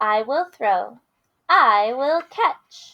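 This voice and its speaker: A woman's put-on character voice, high in pitch. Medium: read story. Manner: bubbly, eager.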